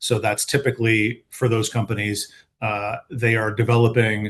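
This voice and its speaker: A man speaks with an American accent, somewhat breathy. His intonation is fairly even over a quiet background. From United States. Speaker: patent attorney. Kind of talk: panel webinar. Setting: online webinar.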